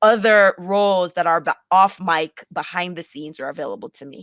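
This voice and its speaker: A woman speaks with a Jamaican accent. Her intonation is fairly even. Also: dry, close sound with no echo. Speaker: podcaster and producer. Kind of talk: casual interview chat.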